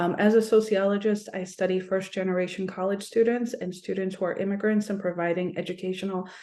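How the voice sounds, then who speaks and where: A woman with an unremarkable speaking voice, medium pitch and a fairly quick pace. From United States, Polish diaspora. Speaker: sociology professor. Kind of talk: panel discussion.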